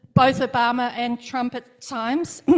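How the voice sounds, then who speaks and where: A woman with a New Zealand accent speaks at a high pitch. Her intonation is flat and monotone. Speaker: congressional candidate. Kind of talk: campaign speech.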